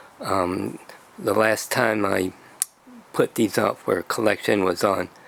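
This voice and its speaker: Against noticeable background noise, a man speaks at a very slow pace. His fairly low voice stays monotone and flat. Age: 70s. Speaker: video blogger. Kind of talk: casual explainer video. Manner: halting, many fillers.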